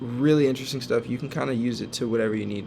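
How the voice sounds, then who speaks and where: A man talks at a medium pitch. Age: 20s. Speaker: former college athlete learning AI, content creator. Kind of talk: tutorial. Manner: halting with filler words.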